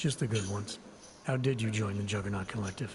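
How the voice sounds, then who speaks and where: Putting on a character voice, a man speaks very fast, raspy and fairly low in pitch, with clear background noise. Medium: video game. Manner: terse, flat, low-key.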